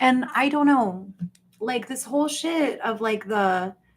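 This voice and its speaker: Somewhat breathy and lively in intonation, a woman speaks with an American accent. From US Deep South. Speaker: YouTube livestreamer. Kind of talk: casual livestream chat. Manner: animated.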